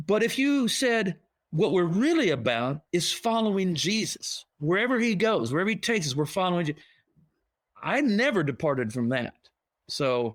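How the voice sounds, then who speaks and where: With very wide pitch swings, a high-pitched man talks at a moderate pace on a very clean recording with a silent background. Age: 60s. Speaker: pastor. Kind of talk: podcast interview. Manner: conversational, self-correcting restarts.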